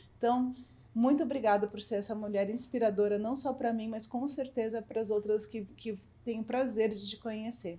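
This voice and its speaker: A woman speaks with an unremarkable speaking voice. Her pitch is fairly high and her intonation fairly even. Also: moderate pace. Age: 50s. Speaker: podcast host. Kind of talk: interview.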